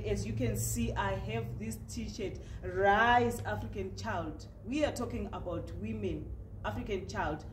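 The speech goes at a fairly slow pace. Light background noise is present. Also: woman. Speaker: news interviewer. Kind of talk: interview host talk. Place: studio.

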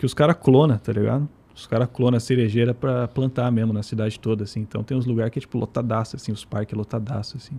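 This man's tone is dark and mellow. He speaks very fast. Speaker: guest living in Japan. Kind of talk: casual chat. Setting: studio. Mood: relaxed, casual slang. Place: studio. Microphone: studio mic.

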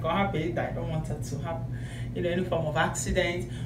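Noticeable background noise around a woman at a fairly quick pace. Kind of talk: casual vlog chat. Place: bathroom. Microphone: phone near.

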